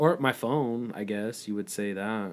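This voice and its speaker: In a very clean recording with a silent background, a man with medium pitch and an unremarkable speaking voice talks at a fairly slow pace. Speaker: podcast host. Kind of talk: casual chat. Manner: casual, chatty, joking.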